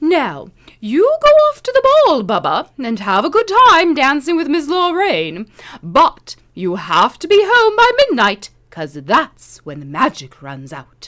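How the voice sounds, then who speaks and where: A woman uses a put-on character voice pitched high. She speaks at a fairly slow pace. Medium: read story.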